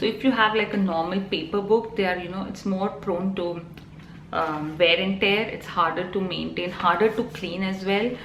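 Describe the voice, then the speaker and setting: In a Telugu accent, a woman speaks at a medium pitch with fairly even intonation, with audible room echo and noticeable background noise. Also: moderate pace. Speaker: vlogger. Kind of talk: casual vlog talk. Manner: hesitant, many fillers.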